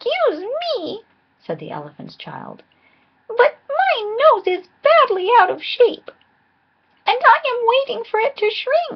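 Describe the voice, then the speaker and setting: Using a put-on character voice, a woman speaks at an extremely high, squeaky pitch and a fairly slow pace, with long, frequent pauses. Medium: read story.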